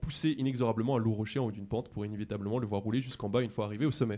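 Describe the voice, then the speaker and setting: A man speaks at a very fast pace, his pitch medium. His tone is dark and mellow, with ordinary pitch variation. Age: 20s. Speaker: student radio columnist. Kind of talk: scripted radio column.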